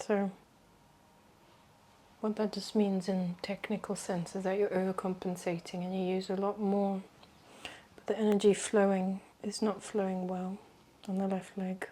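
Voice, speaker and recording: A soft-spoken woman at a medium pitch, her tone dark, mellow, calm and gentle, with monotone, flat intonation, a moderate pace, and long, frequent pauses. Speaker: reiki practitioner and wellness educator. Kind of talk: reiki session guidance. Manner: soft-spoken, calm, gentle.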